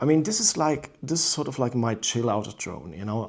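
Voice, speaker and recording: With a non-native accent, a man talks in a dark, mellow tone. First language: not English. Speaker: drone reviewer. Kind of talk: product review. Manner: halting.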